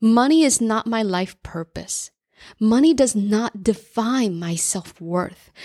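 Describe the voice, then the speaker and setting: On a very clean recording with a silent background, a woman's fairly high voice, dark and mellow in tone, moves very slowly with lively intonation. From US Northeast, New Jersey. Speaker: career coach and podcast host. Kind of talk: personal monologue.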